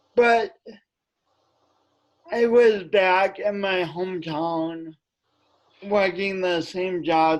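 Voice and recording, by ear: A man speaks slowly with an American accent. His pitch is high for a man, with ordinary pitch variation.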